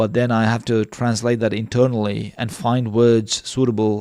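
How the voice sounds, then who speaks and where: A man's monotone, flat delivery in a very clean recording with a silent background. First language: not English. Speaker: live stream debate host. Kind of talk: casual chat. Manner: halting.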